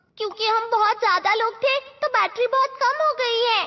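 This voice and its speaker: Put-on character voice, extremely high-pitched, at a moderate pace. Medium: fan dub. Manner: helpful, explanatory.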